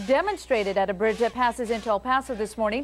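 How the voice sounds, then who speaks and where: A woman is talking while music plays behind her. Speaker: TV news anchor. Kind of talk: TV news anchor read.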